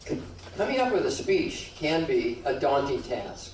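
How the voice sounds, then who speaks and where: Noticeable background noise runs under the voice. The room echo is audible. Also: man. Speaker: speech pathologist giving a public speaking workshop. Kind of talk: workshop talk. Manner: halting with repetitions; informal, joking.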